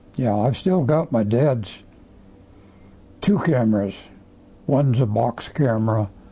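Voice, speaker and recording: A somewhat breathy voice with a dark, mellow tone speaks at a fairly slow pace, with lively intonation, very even loudness, and long, frequent pauses. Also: man, medium pitch for a man. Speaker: war veteran. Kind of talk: interview answer.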